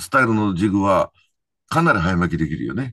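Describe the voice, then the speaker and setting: A man is heard in a dry sound with no echo. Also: quiet background. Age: 70s. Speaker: professional angler. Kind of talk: casual chat.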